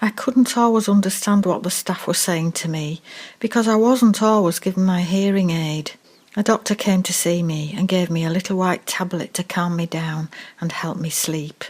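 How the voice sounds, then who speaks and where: Somewhat breathy, a woman talks at a moderate pace and medium pitch. Her pitch variation is ordinary. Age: 80s+. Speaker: care home resident. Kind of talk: scripted narration.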